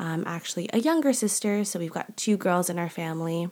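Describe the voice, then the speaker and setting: Her pitch varies in an ordinary way. The woman's voice sits at a medium pitch. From Canada. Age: 20s. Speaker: podcast host. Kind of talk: casual monologue. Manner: animated.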